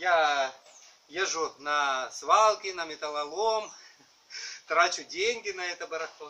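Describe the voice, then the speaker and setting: Over light background noise, a man speaks with a bright, sharp tone. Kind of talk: casual vlog chat. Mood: humorous, self-mocking. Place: garden.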